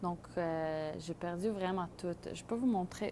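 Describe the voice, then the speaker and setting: A woman's fairly low, dark, mellow voice with a non-native accent, at a very slow pace with ordinary pitch variation. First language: not French (speaking French). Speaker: microgreens grower. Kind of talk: tutorial. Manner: halting, many fillers.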